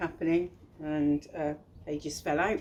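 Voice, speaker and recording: In a strong Bristolian accent, a woman speaks with monotone, flat intonation. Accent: thick Bristolian. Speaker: children's author and illustrator. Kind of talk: casual talk about own book. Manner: hesitant, many fillers.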